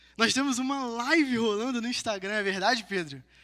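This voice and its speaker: A man's raised, projected voice with a bright, sharp tone, ordinary pitch variation and a moderate pace. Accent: Rio de Janeiro. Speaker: preacher. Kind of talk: sermon. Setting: live-streamed church gathering with audience.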